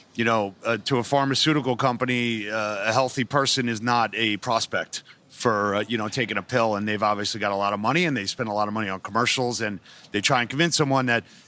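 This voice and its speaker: Talking very fast, a man keeps his intonation fairly even. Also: medium pitch for a man. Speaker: podcast host. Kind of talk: interview question.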